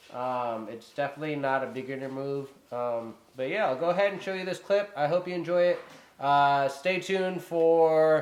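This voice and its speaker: The voice is loud. Its pitch variation is ordinary. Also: man. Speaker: drone hobbyist vlogger. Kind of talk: casual vlog talk to camera. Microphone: poor built-in camera mic.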